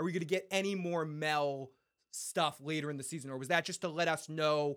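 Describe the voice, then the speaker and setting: This man's pitch is fairly high. He speaks at a moderate pace. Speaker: podcast host. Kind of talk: casual livestream show with chat and voicemails. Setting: live stream with chat, on camera. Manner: animated, profane, emotional.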